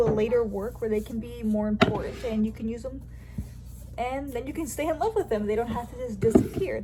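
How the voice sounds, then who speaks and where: Over noticeable background noise, a woman rattles along at a very fast pace. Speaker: writer and mother. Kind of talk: casual talk to camera.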